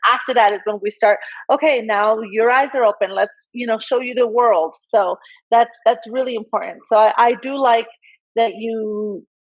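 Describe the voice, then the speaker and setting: A woman with a fairly high pitch talks at a moderate pace, her intonation fairly even. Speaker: dog breeder and interview host. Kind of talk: video interview chat. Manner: loud, flamboyant.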